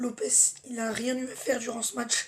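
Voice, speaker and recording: High pitch and a fairly slow pace from a female speaker. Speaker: football fan youtuber. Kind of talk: match debrief vlog.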